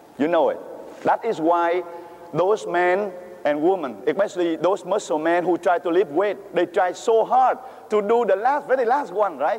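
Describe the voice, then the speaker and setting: With a Vietnamese accent, a man speaks at a moderate pace and high pitch, his tone animated and his intonation lively. His loudness stays very even over noticeable background noise. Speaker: priest. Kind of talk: sermon. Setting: church. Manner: halting.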